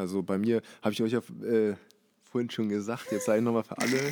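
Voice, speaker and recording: With an unremarkable speaking voice, a man speaks fairly quickly at a fairly low pitch and fairly even intonation. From Hamburg, Germany. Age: 20s. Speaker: fashion label owner. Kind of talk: casual interview. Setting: label warehouse premises.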